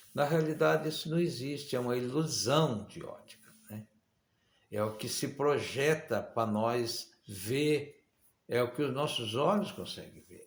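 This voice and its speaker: Somewhat breathy, a man speaks at a fairly slow pace with fairly high pitch, ordinary pitch variation and big swings in loudness. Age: 60s. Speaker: preacher. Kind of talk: sermon.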